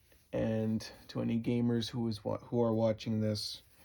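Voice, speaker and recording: A man speaks in a tired tone. His pace is very slow. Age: 20s. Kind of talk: casual talk to camera.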